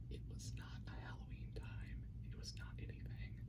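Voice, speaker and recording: A soft-spoken whisper at a moderate pace, with noticeable background noise. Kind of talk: whispered ASMR talk to camera. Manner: soft-spoken, whispered.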